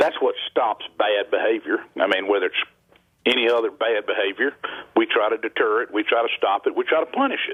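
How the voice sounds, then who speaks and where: Speaking at a fairly quick pace, a man talks in a Southern US accent. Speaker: state governor. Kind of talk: interview answer.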